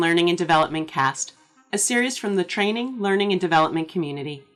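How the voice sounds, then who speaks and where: A woman talks at a very fast pace with lively intonation. Music plays in the background. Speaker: podcast host. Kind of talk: podcast intro read.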